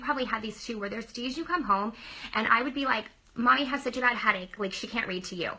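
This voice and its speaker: Over noticeable background noise, a woman talks at a very fast pace with a high pitch and lively intonation. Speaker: former teacher turned direct-sales business owner. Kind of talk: sales pitch. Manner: animated.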